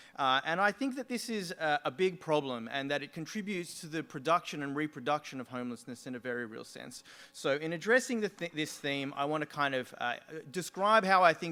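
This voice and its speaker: A man with an Australian accent speaks at a fairly quick pace in a fairly high pitch, his bright, sharp tone carried by lively intonation and big swings in loudness. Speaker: sociology lecturer. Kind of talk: conference talk.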